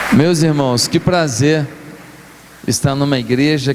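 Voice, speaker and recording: A man with a fairly high voice speaks at a very slow pace, with ordinary pitch variation. Noticeable background noise runs underneath. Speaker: guest pastor. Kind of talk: sermon. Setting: church.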